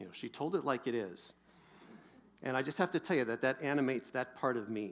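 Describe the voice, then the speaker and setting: Against a quiet background, a man with an American accent talks at a fairly quick pace and a medium pitch, with lively intonation and an unremarkable speaking voice. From US Pacific Northwest. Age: 50s. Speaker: pastor. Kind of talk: sermon.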